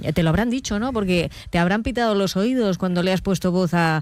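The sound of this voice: A woman talks at a fairly quick pace with ordinary pitch variation. Her pitch sits fairly low.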